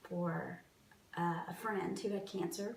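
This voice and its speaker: A woman talks at a medium pitch. Noticeable background noise and audible room echo fill the recording. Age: 40s. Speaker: cancer patient interviewee. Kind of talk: personal testimony interview.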